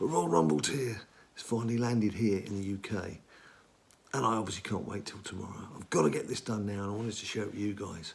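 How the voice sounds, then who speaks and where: A put-on character voice whispers raspily at a very fast pace. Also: man. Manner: loud whisper, leaning in.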